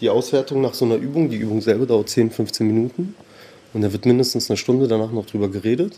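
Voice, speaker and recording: A man's medium-pitched voice rushes along very fast. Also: ordinary pitch variation. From Berlin, Germany (born in Tehran). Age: 30s. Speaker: anti-racism trainer. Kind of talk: casual interview.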